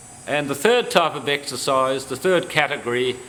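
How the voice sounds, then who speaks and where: A man speaks fairly slowly while noticeable background noise runs underneath. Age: 70s. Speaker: exercise instructor. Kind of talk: instructional talk.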